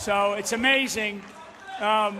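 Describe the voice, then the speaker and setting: Over noticeable background noise, a man with a high pitch speaks in a raised, projected voice. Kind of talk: introduction speech at an event.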